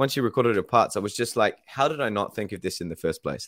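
A man speaks at a medium pitch with a New Zealand accent. The very clean recording has a silent background and a dry, close sound with no echo. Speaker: band singer. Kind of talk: casual radio interview. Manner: warm, chatty.

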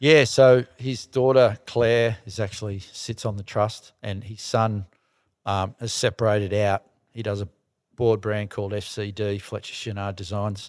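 A man with an Australian accent speaks at a fairly slow pace, with a fairly low pitch and fairly even intonation, in a very clean recording with a silent background and dry, close sound with no echo. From Melbourne western suburbs, Australia. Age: 60s. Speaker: surfing industry entrepreneur. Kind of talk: casual chat. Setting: studio with small audience.

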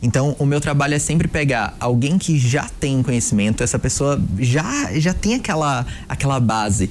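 This is a normal speaking voice, a man's with a fairly high pitch and ordinary pitch variation. He talks at a moderate pace with very even loudness. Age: 20s. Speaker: sales positioning mentor. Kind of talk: interview conversation.

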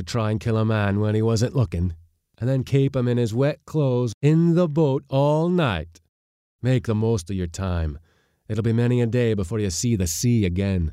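A man growls through a put-on character voice at medium pitch, his intonation lively. He keeps a moderate pace on a very clean recording with a silent background. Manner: snarling, menacing.

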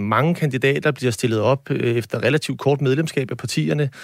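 An unremarkable speaking voice of a man, medium in pitch, with ordinary pitch variation at a moderate pace. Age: 40s. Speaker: mayor. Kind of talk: panel discussion. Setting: studio.

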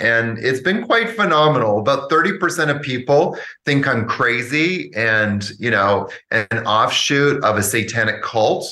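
This man talks with a Canadian accent at a fairly slow pace. His tone is bright and sharp. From Canada. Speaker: yoga teacher. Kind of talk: casual interview.

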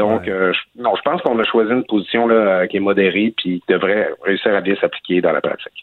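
An unremarkable speaking voice from a man, fairly low-pitched and fairly quick, with fairly even intonation and hardly any pauses. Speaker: newspaper columnist. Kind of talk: radio interview.

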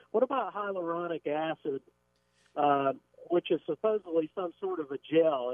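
A high-pitched man at a moderate pace. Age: 50s. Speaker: caller. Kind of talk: call-in question. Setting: phone call.

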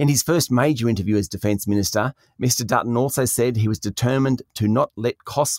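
A man with an Australian accent, medium pitch and ordinary pitch variation, in a dry, close sound with no echo. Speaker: news presenter. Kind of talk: news reading, scripted business headlines briefing. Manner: brisk, crisp and authoritative; formal, even-paced.

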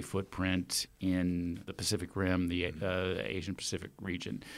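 Here a man speaks with a Texan accent at a moderate pace. The recording is very clean, with a silent background. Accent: Texan American. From Texas, Austin. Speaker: festival organiser. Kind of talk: interview. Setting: studio.

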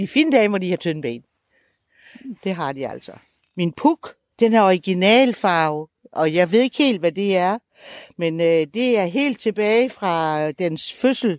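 In a very clean recording with a silent background and a dry, close sound free of echo, a woman of medium pitch speaks fairly slowly, pausing long and often, her pitch swinging very widely. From Denmark, Salling (Jutland). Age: 70s. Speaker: retired artist and moped club member. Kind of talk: casual conversation, reportage interview. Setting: outdoors, moped ride.

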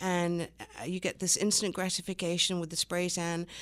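The woman's pitch is medium and her pace fairly slow. The recording is very clean, with a silent background. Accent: English. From England. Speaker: business owner. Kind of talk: radio interview. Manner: hesitant, many fillers.

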